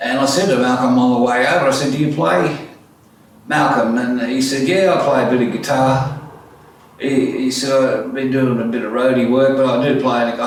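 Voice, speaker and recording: Noticeable background noise and audible room echo surround a man with an Australian accent. He speaks at a moderate pace with a medium pitch. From Australia (Orange, NSW), born in Netherlands. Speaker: musician and piano tuner. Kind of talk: autobiographical storytelling. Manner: casual, hesitant with many fillers.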